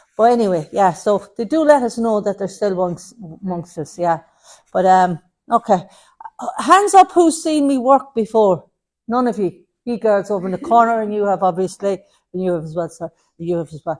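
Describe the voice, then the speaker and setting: A woman with an Irish accent speaks at a moderate pace and a medium pitch. Her intonation is lively. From Ireland. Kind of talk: platform mediumship demonstration. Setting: spiritualist centre with audience.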